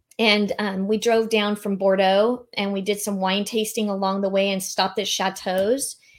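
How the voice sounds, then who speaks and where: A woman talks in a monotone, flat intonation with hardly any pauses. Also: medium pitch for a woman, moderate pace. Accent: Californian. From San Diego, California. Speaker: meeting and event planner. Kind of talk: casual interview.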